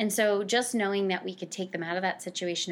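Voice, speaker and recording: This woman, with an American accent, talks at a very fast pace in a medium pitch. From New Jersey (Cranford). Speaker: nonprofit director for family services. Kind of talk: interview.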